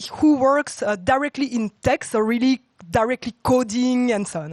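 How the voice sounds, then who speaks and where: Loud and high-pitched, a woman speaks at a fairly slow pace with lively intonation, the sound dry and close with no echo. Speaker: tech talk speaker, former consultant. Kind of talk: conference talk. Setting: stage with audience.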